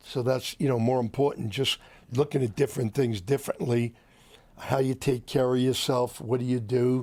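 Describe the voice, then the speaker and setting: With an American accent, a man speaks at a medium pitch and moderate pace in a flat, monotone way. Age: 70s. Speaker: entrepreneur. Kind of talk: interview storytelling.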